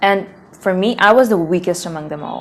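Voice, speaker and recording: A woman's medium-pitched voice amid noticeable background noise. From South Asia. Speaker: language learning vlogger. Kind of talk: casual vlog.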